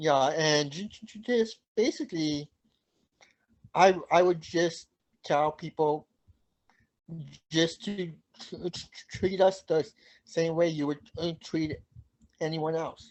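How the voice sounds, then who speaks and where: Speaking at a very slow pace with long, frequent pauses, a high-pitched man keeps his intonation fairly even while his loudness swings widely. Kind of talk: interview. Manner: halting, repeated syllables.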